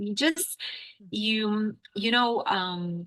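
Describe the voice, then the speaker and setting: The sound is dry and close with no echo as a woman with an American accent speaks with ordinary pitch variation. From Israel. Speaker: English teacher. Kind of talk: interview. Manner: animated.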